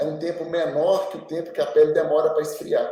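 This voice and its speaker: A man is speaking. His pace is moderate. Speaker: doctor. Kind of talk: podcast interview. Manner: hesitant, many repetitions.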